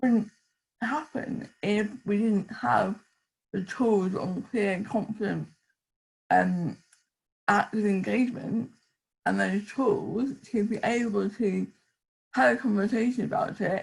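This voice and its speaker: A woman speaks at a very slow pace with vocal fry and long, frequent pauses. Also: medium pitch for a woman, lively intonation. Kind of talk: panel discussion.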